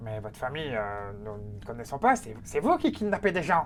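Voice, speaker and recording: Clear background noise sits behind a man doing a put-on character voice at a medium pitch and moderate pace. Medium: actual play. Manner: whiny, petulant, childish.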